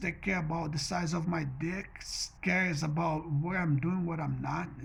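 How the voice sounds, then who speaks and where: A man speaks at a fairly slow pace with a Portuguese accent and ordinary pitch variation, over noticeable background noise. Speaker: vlogger. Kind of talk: personal monologue vlog. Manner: mumbling; halting, repetitive.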